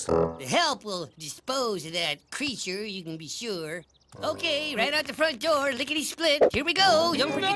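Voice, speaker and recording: In a cartoonish character voice, the speaker talks at a high pitch with very wide pitch swings. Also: moderate pace. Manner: sarcastic, dry.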